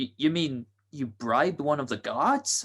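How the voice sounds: Putting on a character voice, a man speaks slowly with a fairly high pitch, big pitch swings, a fairly bright tone and a slightly husky edge.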